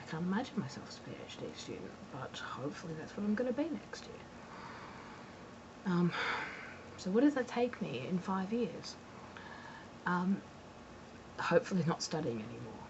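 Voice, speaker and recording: A woman with an Australian accent at medium pitch, very wide pitch swings, big swings in loudness, a moderate pace, long, frequent pauses and noticeable background noise. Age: 20s. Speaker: graduate student vlogger. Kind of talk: personal vlog monologue. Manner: hesitant, many fillers.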